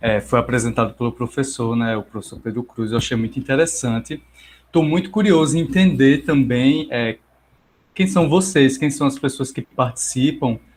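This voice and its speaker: At a moderate pace, a man with a medium-pitched, somewhat breathy voice speaks with ordinary pitch variation. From Brazil, Paraíba (João Pessoa). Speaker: psychologist. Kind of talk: online lecture. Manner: hesitant, many fillers.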